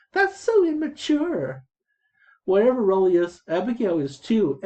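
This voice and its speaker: A man puts on a whiny character voice, pitched high and swinging very widely in pitch, at a moderate pace. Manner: whining, mocking.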